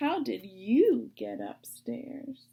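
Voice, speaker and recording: Using a put-on character voice, a woman talks in a high pitch. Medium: read story.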